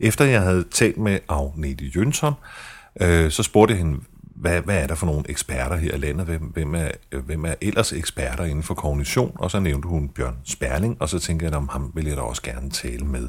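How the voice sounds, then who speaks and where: A man's very deep, low, somewhat breathy voice with ordinary pitch variation. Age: 40s. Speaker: podcast host, journalist with multiple sclerosis. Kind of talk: personal podcast narration and interview. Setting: fast food restaurant in a shopping centre.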